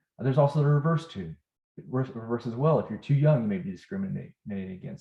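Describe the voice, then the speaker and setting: A man with a medium-pitched, dark, mellow tone talks at a very fast pace, somewhat breathy, with lively intonation. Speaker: healthcare educator. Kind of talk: lecture.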